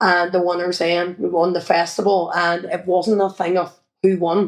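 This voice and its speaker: In a Northern Irish accent, a woman speaks at a moderate pace with a fairly low pitch and monotone, flat intonation. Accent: Derry Northern Irish. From Northern Ireland, Derry. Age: 50s. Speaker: children's entertainer and former sports coach. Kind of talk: interview. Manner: casual, hesitant with fillers.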